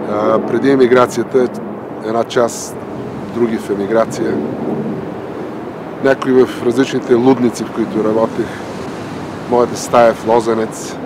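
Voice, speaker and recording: The voice holds a monotone, flat intonation at a moderate pace. Long, frequent pauses and noticeable background noise run through the clip. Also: man, medium pitch for a man. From Bulgaria. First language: Bulgarian. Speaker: doctor and writer, dissident. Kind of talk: documentary narration. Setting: outdoors on a boardwalk by the ocean.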